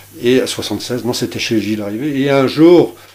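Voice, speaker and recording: A man talks over noticeable background noise. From France, Brittany (Dinard). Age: 60s. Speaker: chef. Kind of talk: radio interview. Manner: halting, many hesitations.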